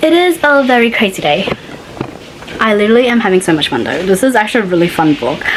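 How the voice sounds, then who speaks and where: There is noticeable background noise as a woman speaks at a very fast pace. Her fairly high voice moves through very wide pitch swings. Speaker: author vlogger. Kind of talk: casual vlog talk.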